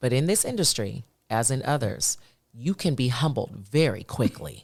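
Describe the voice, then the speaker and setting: Over a very clean recording with a silent background, a woman with an American accent speaks very deep and low, with vocal fry. Her intonation is lively, her pace moderate and her loudness very even. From New Jersey, East Orange. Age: 50s. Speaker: chef. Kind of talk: podcast interview. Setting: studio.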